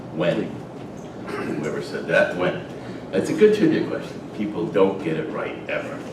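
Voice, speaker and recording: Through audible room echo and noticeable background noise, a man with an American accent speaks at a moderate pace with long, frequent pauses. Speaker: retired army officer and lecturer. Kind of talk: lecture. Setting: stage with audience. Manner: hesitant fillers.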